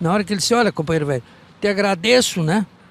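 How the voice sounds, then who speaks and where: A man's high voice races at a very fast pace with very wide pitch swings, heard dry and close with no echo. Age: 80s+. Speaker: veteran local politician. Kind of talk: interview. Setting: outdoors in the street.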